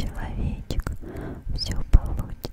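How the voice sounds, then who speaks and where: A soft-spoken woman whispering. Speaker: ASMR creator. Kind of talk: soft ASMR whispering affirmations. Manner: tender soft whisper, close to the microphone. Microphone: studio mic.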